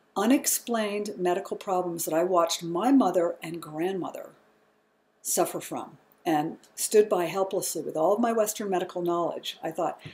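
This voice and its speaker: Medium in pitch, a woman's unremarkable speaking voice moves at a moderate pace with ordinary pitch variation. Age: 60s. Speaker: yoga teacher and nurse. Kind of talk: health talk to camera.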